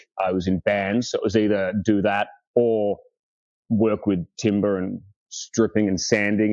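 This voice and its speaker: A man's dark, mellow tone with an Australian accent, at a moderate pace, dry and close with no echo, over a quiet background. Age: 30s. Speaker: furniture restorer. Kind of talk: casual chat. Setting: podcast interview.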